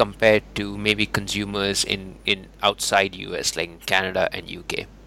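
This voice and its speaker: A man speaks over noticeable background noise. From India. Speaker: podcast host. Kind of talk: interview.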